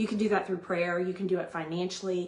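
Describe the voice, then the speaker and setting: A woman's animated, medium-pitched voice. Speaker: vlogger sharing family life advice. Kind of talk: casual monologue. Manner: loud.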